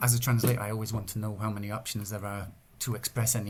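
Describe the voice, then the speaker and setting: A somewhat breathy man at medium pitch with an English accent. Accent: English accent when speaking English. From northern England. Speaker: Welsh language translator and activist. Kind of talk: podcast interview. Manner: halting, many repetitions and fillers.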